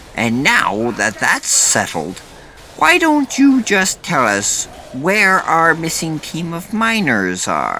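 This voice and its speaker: Over clear background noise, someone performs in a put-on character voice, moving at a very slow pace. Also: man, high pitch for a man. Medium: read story.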